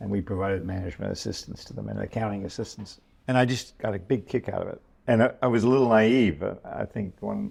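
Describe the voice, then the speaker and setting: A man with an American accent and a dark, mellow tone speaks at a fairly quick pace with vocal fry. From New York. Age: 80s+. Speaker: venture capitalist. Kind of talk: interview. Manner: halting.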